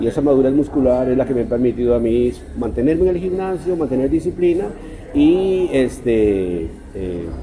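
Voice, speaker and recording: A man with a medium pitch and lively intonation talks at a moderate pace against noticeable background noise. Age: 60s. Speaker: writer. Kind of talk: interview.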